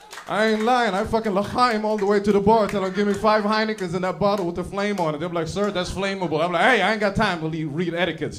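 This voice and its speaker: Talking very fast in an American accent, a man uses a high pitch with ordinary pitch variation, amid audible room echo and noticeable background noise. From Sweden. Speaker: comedian. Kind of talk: stand-up.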